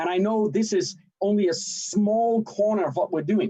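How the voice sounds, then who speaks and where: A man with a Danish accent speaks in a dark, mellow tone. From Denmark. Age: 50s. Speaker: sales and marketing director. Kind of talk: livestream self-introduction. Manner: animated.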